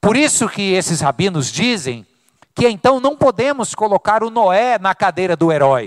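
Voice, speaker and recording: A man's high-pitched voice moves through very wide pitch swings at a moderate pace, the sound dry and close with no echo. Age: 40s. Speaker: pastor. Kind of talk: sermon. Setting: church.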